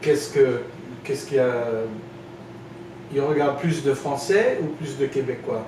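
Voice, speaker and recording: At a moderate pace, a man with a fairly high pitch keeps a fairly even intonation, taking long, frequent pauses amid noticeable background noise. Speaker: French teacher. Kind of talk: interview questions, casual conversation.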